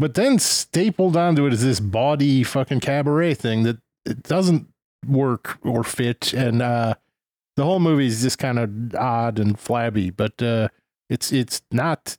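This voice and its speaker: A man with a normal speaking voice talks at a fairly slow pace in a medium pitch with ordinary pitch variation. The sound is dry and close with no echo, and his loudness is very even. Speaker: podcast co-host. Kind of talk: casual chat.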